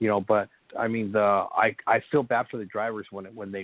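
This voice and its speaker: With an unremarkable speaking voice, a man speaks at a moderate pace, his fairly low pitch held in fairly even intonation. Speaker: co-host. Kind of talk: casual sports talk show.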